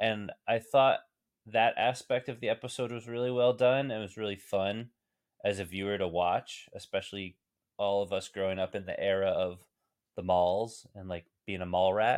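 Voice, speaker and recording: With an American accent, a man has an unremarkable speaking voice at a fairly low pitch, speaking at a moderate pace with fairly even intonation. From New Jersey. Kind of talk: casual chat.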